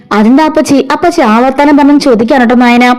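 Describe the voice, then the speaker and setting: A woman talks in a high pitch. Noticeable background noise runs underneath. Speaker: voiceover storyteller. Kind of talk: serial story recap narration. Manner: casual, chatty.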